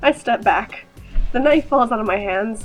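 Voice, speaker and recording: Against music in the background, a woman with a high pitch speaks at a moderate pace. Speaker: gaming YouTuber. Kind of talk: casual gameplay commentary with text read aloud.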